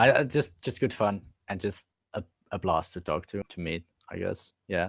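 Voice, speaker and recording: A man with a Dutch accent speaks in a very deep, low voice, recorded dry and close with no echo. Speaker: esports fan community member. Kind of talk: casual chat. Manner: halting, many fillers.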